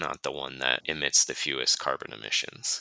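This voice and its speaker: A man with an American accent speaks at a moderate pace, the sound dry and close with no echo. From Minnesota, US (Duluth). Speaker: travel journalist, editor. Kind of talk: interview, casual chat.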